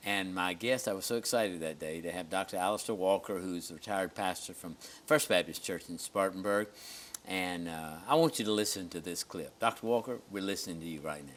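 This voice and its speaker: A man with a Southern US accent, very deep and low in pitch, with ordinary pitch variation. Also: fairly quick pace. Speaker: pastor and TV host. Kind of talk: TV show chat.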